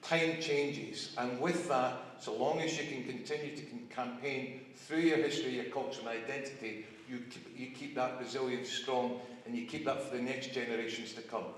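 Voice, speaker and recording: Over noticeable background noise and audible room echo, a man with a Scottish accent speaks at a fairly quick pace, with ordinary pitch variation and big swings in loudness. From Scotland. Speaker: politician. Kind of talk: rally speech. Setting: outdoor rally with crowd.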